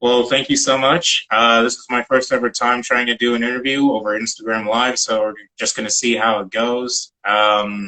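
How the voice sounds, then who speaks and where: With a bright, sharp tone, a man talks at a moderate pace with fairly even intonation and hardly any pauses. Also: medium pitch for a man. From Wilmington, Delaware. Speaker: student political interviewer. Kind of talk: interview. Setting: Instagram live stream video call. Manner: halting, many fillers.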